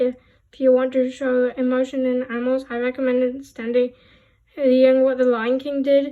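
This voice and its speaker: At a moderate pace, a woman speaks in a high pitch with monotone, flat intonation. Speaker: hobby artist. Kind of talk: art tutorial presentation. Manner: stuttering, hesitant.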